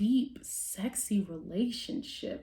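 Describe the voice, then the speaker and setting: A woman whispers at a very slow pace. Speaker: tarot reader. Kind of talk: tarot reading. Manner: whispering; hesitant with fillers.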